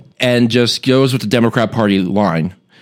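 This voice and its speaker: Lively intonation marks a man's speech at a moderate pace, delivered in an unremarkable speaking voice. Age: 20s. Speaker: media analyst. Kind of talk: casual chat. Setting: studio.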